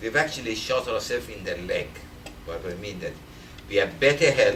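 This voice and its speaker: Over noticeable background noise, a man speaks with a non-native accent. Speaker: Alzheimer's medical researcher. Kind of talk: lecture talk.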